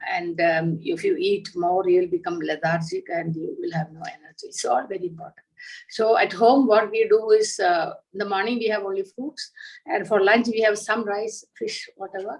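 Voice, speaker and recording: Her intonation lively and her loudness swinging widely, a woman talks at a moderate pace and a medium pitch. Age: 60s. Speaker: entrepreneur. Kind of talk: interview. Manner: hesitant, many fillers.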